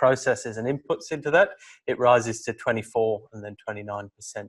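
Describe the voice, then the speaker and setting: Someone speaks with a British accent against a quiet background. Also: man. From UK. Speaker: PhD student. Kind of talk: academic seminar presentation. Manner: hesitant, repeats words.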